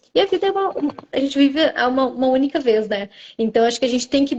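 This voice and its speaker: The speaker is a woman. Her pitch is high. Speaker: orthomolecular nutritionist. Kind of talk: live-stream interview.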